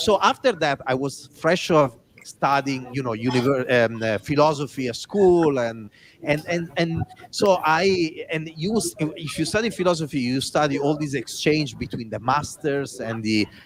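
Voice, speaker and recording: Lively intonation marks a man speaking at a fairly high pitch. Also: moderate pace. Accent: Italian. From Italy. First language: Italian. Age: 40s. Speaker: design executive and author. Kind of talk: interview storytelling.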